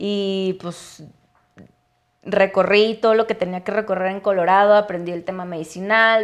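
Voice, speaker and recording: A woman talks with ordinary pitch variation in an unremarkable speaking voice. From Mexico, Chihuahua. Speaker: cannabis entrepreneur and activist. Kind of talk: interview.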